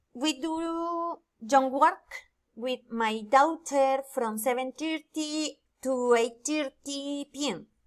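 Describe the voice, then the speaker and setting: The speaker has a Spanish accent and talks at a very slow pace with ordinary pitch variation. The recording is very clean, with a silent background. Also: woman, high pitch for a woman. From Colombia, Floridablanca, Santander. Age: 20s. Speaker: student and telemarketer. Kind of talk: student presentation, reading aloud. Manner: halting, hesitant.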